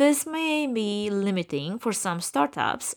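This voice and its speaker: A woman talks in a Romanian accent with lively intonation. The recording is very clean, with a silent background. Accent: Romanian, noticeable. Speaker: podcast host, event production company owner. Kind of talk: scripted podcast monologue.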